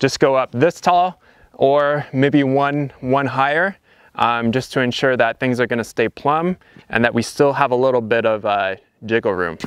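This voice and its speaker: A man talks at a moderate pace with ordinary pitch variation. The sound is dry, with no echo, over a quiet background. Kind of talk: tutorial. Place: open country.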